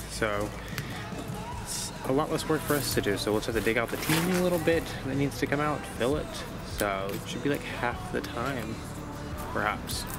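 Over clear background music, a man talks at a moderate pace with long, frequent pauses in a dry sound with no echo. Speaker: sailing vlogger. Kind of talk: casual vlog chat. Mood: relaxed, mildly relieved. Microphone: phone near.

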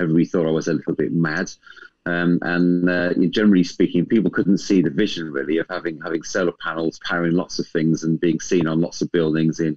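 A man talks at a very fast pace with a very deep, low pitch and monotone, flat intonation. The sound is dry with no echo, and the background is quiet. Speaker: guest. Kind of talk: interview answer. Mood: warm, a bit nervous. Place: home room. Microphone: video call.

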